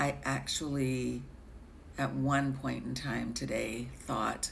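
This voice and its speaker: A woman's very slow speech, with audible room echo. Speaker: tarot reader. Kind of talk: live-stream tarot reading. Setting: live stream with chat. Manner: hesitant, filler-heavy.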